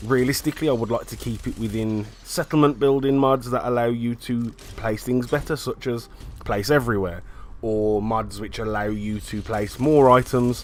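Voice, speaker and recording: A man talks at a moderate pace with a British accent. His medium-pitched voice keeps a fairly even intonation. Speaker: gamer. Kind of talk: casual talk to camera.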